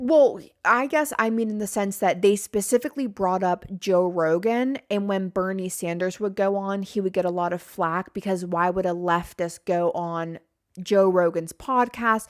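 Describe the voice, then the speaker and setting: This is a woman with a normal speaking voice at medium pitch, using ordinary pitch variation. She keeps a moderate pace, and the recording is very clean with a silent background. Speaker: podcast host and video creator. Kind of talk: casual podcast chat. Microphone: microphone very close to mouth.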